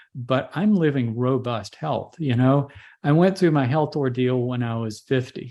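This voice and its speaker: At a fairly slow pace, a man with an ordinary speaking voice talks at a medium pitch. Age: 60s. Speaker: holistic doctor. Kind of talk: interview.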